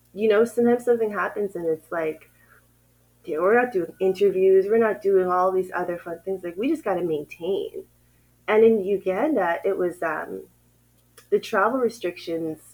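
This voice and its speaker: At a moderate pace, a woman with a Canadian accent and a normal speaking voice talks at a medium pitch with ordinary pitch variation. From Canada, Ottawa. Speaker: renewable energy company founder. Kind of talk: interview.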